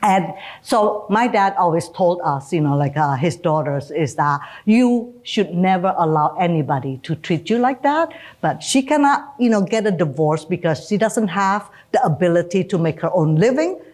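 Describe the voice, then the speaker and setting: A woman with an Indonesian accent, fairly low in pitch, very wide pitch swings, very even loudness, moderate pace. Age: 60s. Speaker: retired bank executive. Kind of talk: interview.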